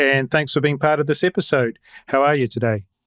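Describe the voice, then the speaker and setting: A fairly high-pitched man with a slight New Zealand accent, in a very clean, dry, close recording with a silent background and no echo. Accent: mild New Zealand. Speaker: podcast host. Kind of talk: interview; scripted announcements.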